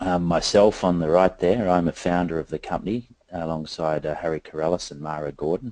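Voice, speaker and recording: Speaking at a fairly quick pace in an Australian accent, a man has a very deep, low pitch and a dark, mellow tone. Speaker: company founder and director presenting to investors. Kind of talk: investor presentation. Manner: many filler words (um, uh).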